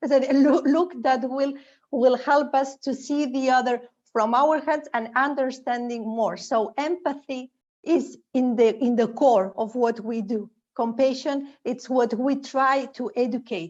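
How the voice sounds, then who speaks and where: Against a quiet background, a woman with a Spanish accent speaks at a fairly slow pace in a high pitch with ordinary pitch variation. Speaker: educator and theater organization founder. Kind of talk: panel discussion. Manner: halting.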